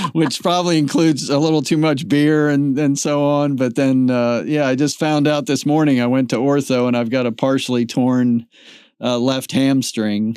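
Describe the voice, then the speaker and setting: A man with an ordinary speaking voice talks at a medium pitch and moderate pace, with fairly even intonation and very even loudness. The recording is very clean, with a silent background. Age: 60s. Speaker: podcast host. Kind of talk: casual interview.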